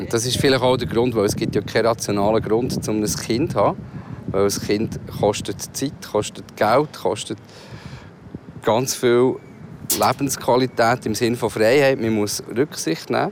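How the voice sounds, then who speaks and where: Over noticeable background noise, a man talks at a fairly slow pace. His pitch is medium, with ordinary variation. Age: 50s. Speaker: co-host and father. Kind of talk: casual chat.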